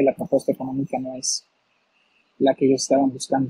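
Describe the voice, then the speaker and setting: Somewhat breathy, the voice sounds dry with no echo over a quiet background. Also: man. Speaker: guest. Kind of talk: interview answer. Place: home room. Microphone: video call.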